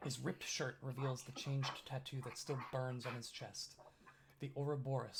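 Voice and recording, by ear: A natural voice reads the text aloud.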